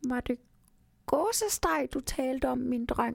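A female-sounding voice puts on a character voice at a high pitch. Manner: confused, timid.

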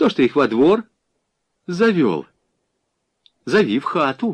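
Slowly, a man performs a put-on character voice, fairly high for a man with a slightly husky edge. His pitch makes big swings.

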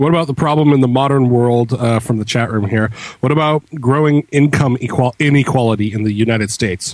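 A man speaks at a fairly quick pace in an ordinary speaking voice. His pitch is medium, with ordinary pitch variation. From Canada. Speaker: podcast co-host. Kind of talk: casual chat. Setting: remote call.

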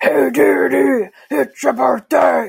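A man puts on a robotic character voice. It is raspy and pitched fairly high. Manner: cheery, greeting.

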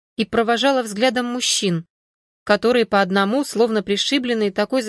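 A passage is read aloud in a natural voice. Nothing much sounds behind it.

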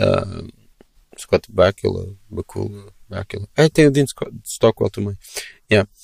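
A somewhat breathy man at a very slow pace, fairly low in pitch, with ordinary pitch variation and long, frequent pauses. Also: big swings in loudness. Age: 30s. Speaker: podcast host. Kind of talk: casual chat. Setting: video call.

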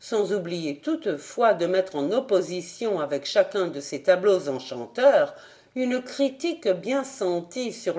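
The text is read out plainly.

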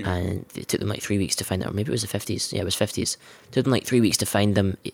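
A man's plain, everyday voice comes through at a fairly low pitch with fairly even intonation on a very clean recording with a silent background. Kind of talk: radio DJ patter, bantering and jokey. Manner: flustered, rambling, self-interrupting; sweary, sarcastic.

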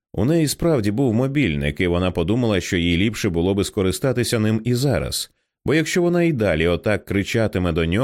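Someone reading aloud in a natural voice, with a quiet background

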